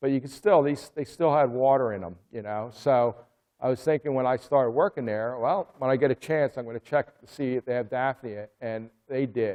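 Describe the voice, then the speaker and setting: Moderate pace from a man at a medium pitch, with ordinary pitch variation. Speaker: aquarium hobbyist giving a club talk. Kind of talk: club presentation talk about raising live fish food. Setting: live meeting room. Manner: casual, conversational, with hesitations.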